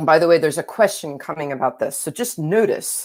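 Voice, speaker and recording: In an American accent, a woman speaks with a very deep, low pitch. She keeps a moderate pace and ordinary pitch variation. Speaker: astrophysicist. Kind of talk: lecture. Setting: online live seminar.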